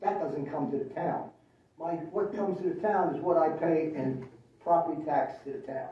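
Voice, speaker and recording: A man talks at a moderate pace with a high pitch and ordinary pitch variation. There is audible room echo and noticeable background noise. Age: 80s+. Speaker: town council member. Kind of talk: public meeting discussion. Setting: town council meeting.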